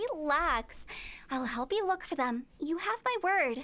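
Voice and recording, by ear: A woman puts on a character voice with a high pitch and a bright, sharp tone. She goes at a fairly slow pace with lively intonation.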